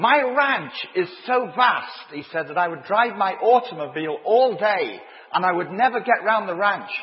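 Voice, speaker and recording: A man with a high pitch speaks in an animated tone with lively intonation over noticeable background noise. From northern England, Leeds. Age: 50s. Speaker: preacher. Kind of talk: sermon.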